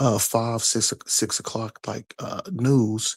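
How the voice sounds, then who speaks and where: Talking at a very slow pace, a man has a somewhat breathy, medium-pitched voice and fairly even intonation. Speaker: caller. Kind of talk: casual chat. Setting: at home, late night. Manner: soft-spoken; halting.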